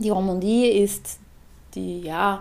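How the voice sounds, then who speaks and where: The speaker is a woman. Her voice has a dark, mellow tone. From Switzerland. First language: Swiss German (speaking German). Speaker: podcast co-host. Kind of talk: casual chat.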